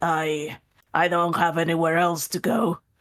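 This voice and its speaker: Fairly slow, middle-pitched speech in a put-on character voice. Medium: actual play. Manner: hesitant, casual.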